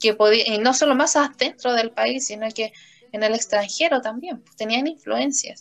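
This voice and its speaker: Using an ordinary speaking voice, a woman talks at a moderate pace in a fairly high pitch with ordinary pitch variation. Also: big swings in loudness. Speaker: language and literature teacher, podcast host. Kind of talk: casual conversation. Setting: empty classroom after school.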